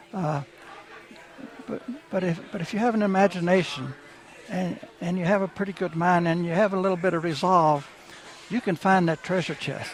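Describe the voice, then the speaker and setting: With a Texan accent, a high-pitched man talks at a moderate pace with fairly even intonation and long, frequent pauses over noticeable background noise. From Texas. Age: 80s+. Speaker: author and art dealer. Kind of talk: radio interview. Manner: halting, with many repetitions.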